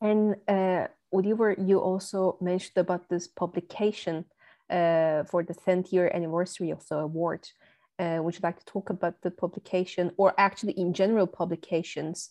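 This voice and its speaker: Over a quiet background, a woman with a non-native accent speaks at a fairly quick pace in a dark, mellow tone, her medium-pitched voice flat and monotone. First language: not German. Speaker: podcast host. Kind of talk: interview.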